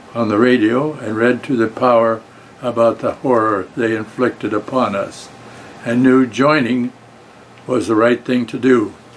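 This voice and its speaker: Against noticeable background noise, a man with an American accent talks at a moderate pace with monotone, flat intonation. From Colorado, Denver. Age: 90s. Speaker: war veteran. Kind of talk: prepared talk to students. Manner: halting.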